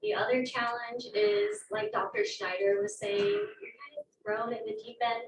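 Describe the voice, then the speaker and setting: A soft-spoken woman, fairly high in pitch, with ordinary pitch variation at a moderate pace. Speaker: graduate student. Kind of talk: panel talk at open house. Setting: classroom with audience.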